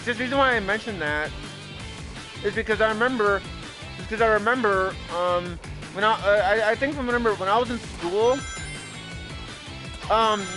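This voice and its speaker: Long, frequent pauses break up an otherwise fairly quick pace. Music plays in the background. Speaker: video creator signing off to viewers. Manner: hesitant, many fillers and repetitions.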